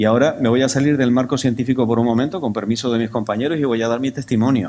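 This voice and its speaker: Talking at a very fast pace, a man uses a medium pitch. The recording is very clean, with a silent background. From Canary Islands, Tenerife. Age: 60s. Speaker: scientific conference speaker. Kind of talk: conference talk. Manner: animated.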